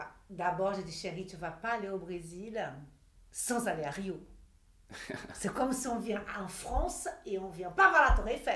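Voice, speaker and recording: A woman with an energetic tone speaks at a moderate pace over noticeable background noise. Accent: Brazilian. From Brazil. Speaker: model and image consultant. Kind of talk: interview answer.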